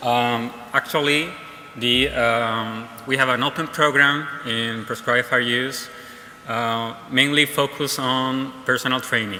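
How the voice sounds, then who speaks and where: A man with a Spanish accent speaks at medium pitch and a fairly slow pace, his intonation monotone and flat. Audible room echo and noticeable background noise fill the recording. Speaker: fire service technician. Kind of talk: conference talk. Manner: halting, many fillers.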